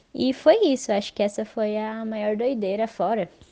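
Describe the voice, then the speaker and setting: At a fairly slow pace, a woman talks in a medium pitch with a dark, mellow tone and fairly even intonation. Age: 20s. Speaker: podcast guest. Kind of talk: casual chat.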